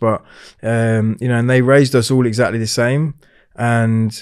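Over a quiet background, a man talks at a moderate pace in a monotone, flat intonation. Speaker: podcast guest. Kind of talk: interview answer. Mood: reflective, candid. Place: studio. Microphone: studio mic.

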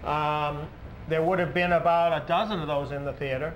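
At a moderate pace, a man speaks with a fairly high pitch and fairly even intonation.

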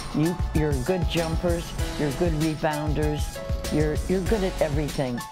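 With clear music in the background, a woman speaks at a fairly slow pace. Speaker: nun, basketball team chaplain. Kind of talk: pep talk to players. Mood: encouraging, warm. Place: hall.

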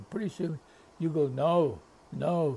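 Over light background noise, a man speaks with vocal fry. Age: 80s+. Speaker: retired football coach. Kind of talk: interview answer.

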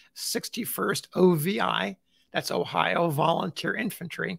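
Speaking at a very slow pace with vocal fry, a man is heard in a dry recording with no echo. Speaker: magazine host. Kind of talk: casual vlog chat. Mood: warm, enthusiastic. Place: home room. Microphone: phone near.

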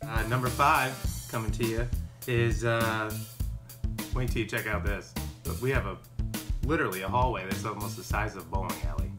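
A man's medium-pitched, upbeat and playful voice at a fairly quick pace, ordinary pitch variation, long and frequent pauses, and clear music in the background. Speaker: realtor. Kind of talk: casual real estate walkthrough to camera. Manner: upbeat, playful. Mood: playful, deadpan humor. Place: garden. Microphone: phone near.

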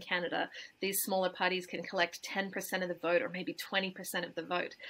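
The speaker has a bright, sharp tone and an Australian accent. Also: woman. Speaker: climate campaigner and democracy activist. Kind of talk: interview answer. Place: home room. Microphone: webcam.

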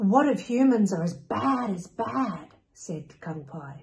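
Lively intonation in a natural reading voice

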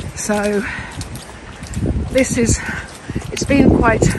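Loud background noise behind a woman's dry voice, free of echo. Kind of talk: casual vlog chat. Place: forest. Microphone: phone near.

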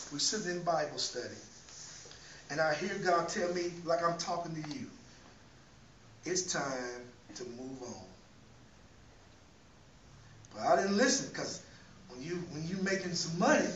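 A man talks at a moderate pace with long, frequent pauses and big swings in loudness. Light background noise and audible room echo are present. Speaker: preacher. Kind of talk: sermon testimony. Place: church. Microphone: camera far.

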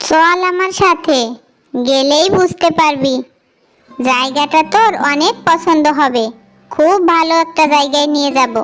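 Over background music, a woman uses a high-pitched cartoonish character voice, keeping a very even loudness at a fairly slow pace. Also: ordinary pitch variation. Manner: bossy, sharp-tongued.

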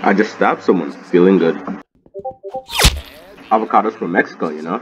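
Music plays in the background. The speech moves at a fairly quick pace with fairly even intonation. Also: man, very deep, low pitch for a man. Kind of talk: gaming announcer voice lines. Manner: casual, jokey gamer banter.

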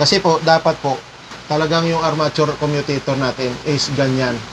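Speaking at a moderate pace, a man keeps a monotone, flat intonation against noticeable background noise. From Philippines. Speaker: power tools technician and live streamer; power tool trainer. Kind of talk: livestream tutorial. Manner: casual, with many fillers. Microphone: sound distorted, setup changed; lapel.

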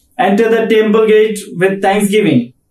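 Against audible room echo, a man talks at a fairly slow pace with a high pitch. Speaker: pastor leading worship. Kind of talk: call to worship and prayer. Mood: calm, reverent. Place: home room.

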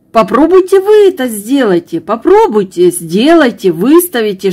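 A woman is heard against a quiet background. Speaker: knitting vlogger. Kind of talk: emotional vlog monologue. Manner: hesitant, many filler sounds. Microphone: phone near.

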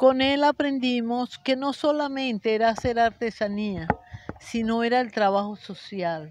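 The woman's voice is high-pitched, and the sound is dry with no echo. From Venezuela, Guatire (Miranda); Venezuela. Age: 70s. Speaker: rag doll artisan. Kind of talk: interview. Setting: cultural center. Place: garden. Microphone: handheld.

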